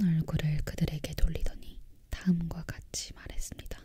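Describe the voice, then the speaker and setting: Someone whispers in a calm tone at a fairly slow pace. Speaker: ASMR content creator. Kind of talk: storybook narration read aloud. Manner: soft-spoken, calm.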